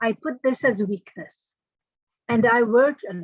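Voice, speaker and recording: With a non-native accent and lively intonation, a woman speaks at a moderate pace in a dry, close sound with no echo. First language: not English. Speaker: engineering trainer and career speaker. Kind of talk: motivational talk. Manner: measured pace with pauses.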